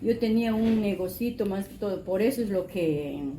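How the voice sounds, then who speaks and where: With audible room echo, a woman speaks at a fairly slow pace in a fairly high pitch with lively intonation. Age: 60s. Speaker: interviewee. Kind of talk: testimony. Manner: halting.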